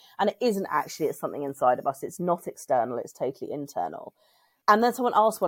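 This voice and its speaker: A woman talks at a very fast pace with a British accent. Her pitch swings very widely. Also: very clean recording, silent background. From UK. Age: 40s. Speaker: women's circle convener and writer. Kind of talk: casual chat.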